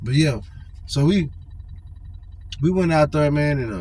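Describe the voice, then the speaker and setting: The voice carries an American accent at a moderate pace. Audible room echo surrounds it. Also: man. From California. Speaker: storyteller vlogger. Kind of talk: casual storytelling. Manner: casual, repetitive fillers and stammering.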